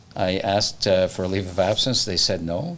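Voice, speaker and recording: A man is speaking at a moderate pace. His pitch is fairly low. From Toronto, Canada. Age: 60s. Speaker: real estate broker and podcast host. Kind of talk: casual interview chat. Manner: repetitive, halting restarts.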